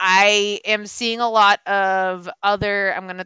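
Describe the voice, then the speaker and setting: In a very clean, dry recording with a silent background and no echo, a woman with an American accent speaks in a bright, sharp tone with fairly even intonation. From Boston area, Massachusetts. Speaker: podcast host. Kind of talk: casual chat; reading aloud.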